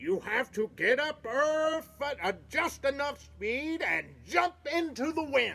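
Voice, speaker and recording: A put-on character voice, high-pitched and fairly slow, with hardly any pauses. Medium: read story. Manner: bossy.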